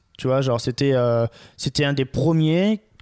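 A man speaks at a moderate pace with a dark, mellow tone and ordinary pitch variation. The sound is dry and close, with no echo. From Marseille, southern France. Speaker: photographer and videographer. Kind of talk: casual interview chat. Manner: hesitant, many fillers.

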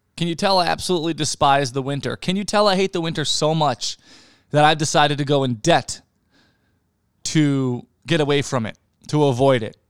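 The recording is very clean, with a silent background. A man with an unremarkable speaking voice talks fairly quickly at fairly high pitch, with ordinary pitch variation. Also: dry, close sound with no echo. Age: 30s. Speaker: podcast host and plumber. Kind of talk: casual solo monologue. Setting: home apartment.

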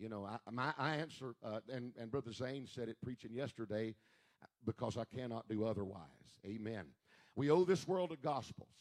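In a dry, close recording with no echo, a man with an unremarkable speaking voice talks at a moderate pace, his medium pitch showing ordinary variation. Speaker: church pastor or service leader. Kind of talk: church service announcements and worship leading. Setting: church.

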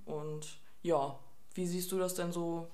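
A woman talks at a fairly low pitch and a very slow pace. Audible room echo and noticeable background noise come through in the recording. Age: 20s. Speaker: trainee geriatric nurse, podcast co-host. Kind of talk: casual chat.

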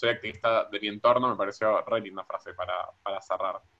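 With a Rioplatense accent, a man talks at a fairly quick pace. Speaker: podcast co-host. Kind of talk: podcast interview.

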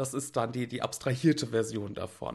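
There is vocal fry in this man's voice, which shows ordinary pitch variation. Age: 30s. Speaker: art stream host. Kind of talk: casual livestream talk with screen sharing. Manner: hesitant with many fillers.

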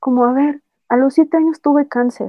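A woman talks at a moderate pace. Her voice is high, and her intonation stays fairly even. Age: 20s. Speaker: cancer survivor and influencer. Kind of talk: casual chat. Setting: remote recording.

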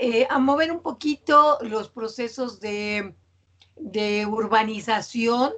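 A woman speaks at a very slow pace in a fairly high voice, her pitch rising and falling in an ordinary way. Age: 60s. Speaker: university professor. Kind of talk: interview.

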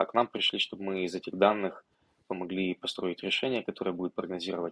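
A man speaks at a very deep, low pitch. The sound is dry and close, with no echo. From Ukraine, Odesa region. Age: 20s. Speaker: tech entrepreneur. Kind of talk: interview conversation.

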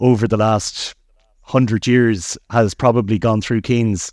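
Recorded with a dry, close sound and no echo against a quiet background, a man with an Irish accent talks at a moderate pace in a medium pitch with fairly even intonation. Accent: Irish (Mayo). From Ireland, County Mayo. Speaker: Irish expat city guide. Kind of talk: casual chat. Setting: outdoors. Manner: hesitant, many fillers.

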